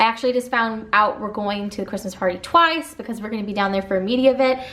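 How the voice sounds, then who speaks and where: A woman with an American accent and a fairly high pitch, ordinary pitch variation, over noticeable background noise. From US Midwest, southern Illinois. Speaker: mom vlogger. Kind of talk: casual Q&A vlog. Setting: at home.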